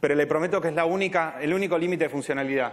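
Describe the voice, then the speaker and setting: A man with an Argentine accent at a very fast pace, with ordinary pitch variation. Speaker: software engineer. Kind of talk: Q&A answer; conference talk.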